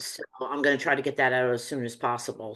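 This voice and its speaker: A woman with a New Jersey accent talks at a fairly quick pace. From New Jersey, US. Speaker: medium and teacher. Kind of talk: interview conversation.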